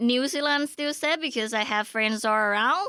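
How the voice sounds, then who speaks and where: With a Thai accent, a woman speaks in a raised, projected voice with a bright, sharp tone. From rural Thailand. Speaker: podcast guest. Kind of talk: casual chat. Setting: studio.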